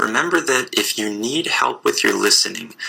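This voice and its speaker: A man with an American accent, over noticeable background noise. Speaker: English teacher podcaster. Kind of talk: podcast lesson. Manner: slow; clear.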